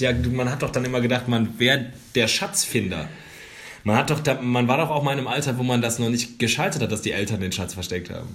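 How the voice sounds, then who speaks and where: Noticeable background noise and audible room echo surround a man speaking very fast. His pitch is medium, with ordinary variation. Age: 30s. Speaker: podcast co-host. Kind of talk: casual chat.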